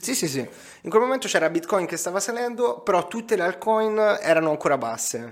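Barely pausing, a high-pitched man talks at a fairly quick pace with very wide pitch swings. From Tuscany, Grosseto. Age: 20s. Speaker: digital entrepreneur and crypto investor. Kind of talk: casual interview. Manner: animated.

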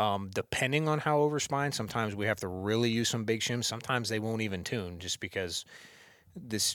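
With a normal speaking voice and an American accent, a man talks at a fairly quick pace in a fairly low pitch with ordinary pitch variation, on a very clean recording with a silent background. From northeast Ohio. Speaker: bow technician. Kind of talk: casual chat. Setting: office.

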